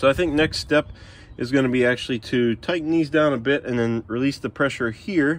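A man at medium pitch, moderate pace and ordinary pitch variation

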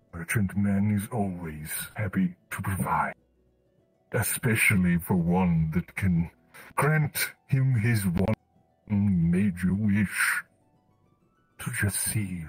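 Using a put-on character voice at a fairly low pitch, a man speaks at a very slow pace with long, frequent pauses as faint music plays in the background. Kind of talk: roleplay character voice. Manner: third-person speech, wistful, oddly formal.

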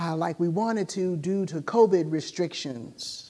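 A woman speaks in a dark, mellow tone with ordinary pitch variation against a quiet background. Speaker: preacher. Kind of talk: sermon. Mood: somber, personal grief. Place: church. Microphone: lapel.

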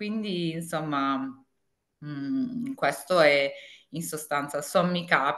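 A woman's very deep, low voice. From Apulia, southern Italy. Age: 50s. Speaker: tax consultant and home organizing consultant; interview guest. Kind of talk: interview. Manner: halting, many fillers. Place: home room. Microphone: video call.

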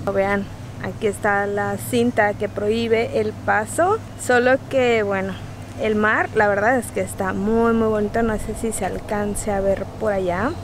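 At a fairly slow pace, the dry speech carries no echo over noticeable background noise. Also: woman. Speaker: travel vlogger. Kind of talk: casual vlog chat. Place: beach. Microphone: phone near.

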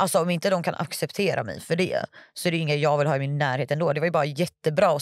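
A woman with a very deep, low pitch speaks very fast in fairly even intonation, the sound dry with no echo. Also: quiet background. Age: 20s. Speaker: stripper and online content creator; podcast guest. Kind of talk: casual interview. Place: studio. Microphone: studio mic.

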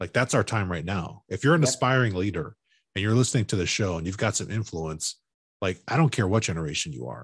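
Very fast speech with vocal fry, very wide pitch swings and an American accent, dry with no echo over a quiet background. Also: man, fairly low pitch for a man. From Chicago. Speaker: podcast host, construction professional; podcast host. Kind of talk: casual interview; promotional plug. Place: home room.

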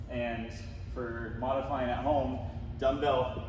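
This man's voice carries an audible room echo, with noticeable background noise behind him. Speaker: fitness coach. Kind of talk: tutorial. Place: gym. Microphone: camera far.

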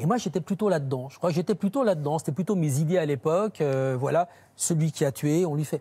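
A fairly quick-paced man with a fairly high pitch, a dark, mellow tone and a somewhat breathy sound. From France, Saône-et-Loire; France. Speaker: crime journalist. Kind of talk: TV panel discussion. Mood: earnest, reflective. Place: studio. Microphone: lapel.

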